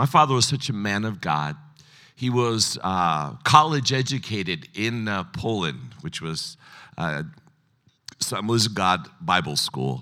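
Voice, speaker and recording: Very wide pitch swings and a bright, sharp tone come at a very slow pace in a very clean recording with a silent background. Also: man, fairly low pitch for a man. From United States, child of immigrants. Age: 60s. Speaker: pastor. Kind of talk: sermon. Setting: stage with audience. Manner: casual, humorous.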